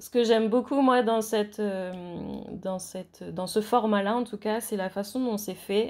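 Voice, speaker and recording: A woman speaks at a very slow pace, her medium pitch held in fairly even intonation. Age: 30s. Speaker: horse owner. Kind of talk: interview.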